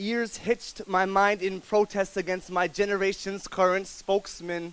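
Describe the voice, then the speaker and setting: A man with a high pitch speaks at a fairly slow pace, showing ordinary pitch variation. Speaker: spoken word poet. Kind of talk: spoken word poetry performance. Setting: live coffee house audience.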